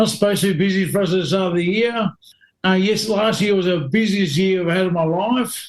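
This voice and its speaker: Speaking at a fairly quick pace, a man with an Australian accent has a high pitch and fairly even intonation. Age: 40s. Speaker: stunt driver. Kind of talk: casual chat.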